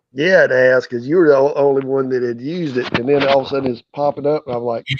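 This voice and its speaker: This man talks at a very fast pace with a North Carolina accent. His pitch is fairly high and his intonation fairly even. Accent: Southern, North Carolina. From US South, North Carolina. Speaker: farmer and YouTuber. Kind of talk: casual chat.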